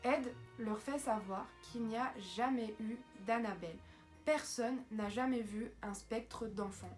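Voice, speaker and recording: A woman's fairly high voice, very slow and fairly even in intonation, with music in the background. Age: 20s. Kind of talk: horror story narration to camera. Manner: casual, hesitant.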